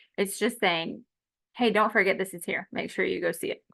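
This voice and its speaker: At a fairly quick pace, a woman talks with vocal fry and lively intonation. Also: quiet background. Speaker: college instructor. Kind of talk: lecture. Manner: fast.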